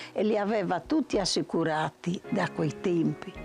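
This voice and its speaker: Talking at a fairly slow pace, a woman with a fairly low pitch is heard over music in the background. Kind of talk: interview answer.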